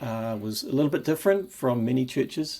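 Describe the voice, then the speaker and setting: In a New Zealand accent, a man speaks with ordinary pitch variation. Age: 50s. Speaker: Bible enthusiast video maker. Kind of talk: personal video presentation. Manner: halting, frequent repetitions and fillers.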